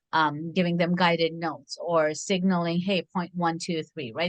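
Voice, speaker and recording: Talking at a fairly quick pace, a woman with a non-native accent uses a fairly low pitch and ordinary pitch variation. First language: not English. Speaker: education researcher. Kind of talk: expert interview.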